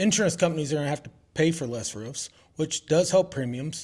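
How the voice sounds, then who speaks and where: A man mumbles at a fairly quick pace with a fairly high pitch and ordinary pitch variation. The recording is very clean, with a silent background. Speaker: roofing contractor. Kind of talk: casual interview. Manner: mumbling.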